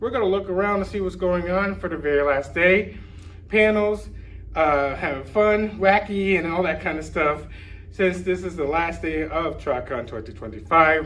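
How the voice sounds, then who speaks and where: A man speaks at a high pitch and a moderate pace. Room echo is audible. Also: ordinary pitch variation. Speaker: YouTuber covering a fan convention. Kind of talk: vlog to camera. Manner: halting, stumbling over words.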